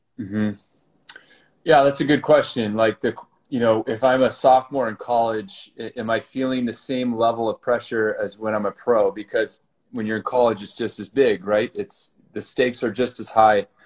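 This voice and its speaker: In a dry, close sound with no echo, a man with an American accent uses an ordinary speaking voice at a medium pitch, with fairly even intonation and a moderate pace. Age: 40s. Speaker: former pro volleyball player and fitness startup founder. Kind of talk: interview.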